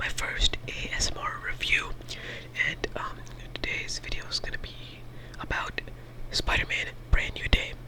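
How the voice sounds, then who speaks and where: A whispered voice keeps a medium speed against noticeable background noise. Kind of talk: ASMR movie review. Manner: casual, rambling.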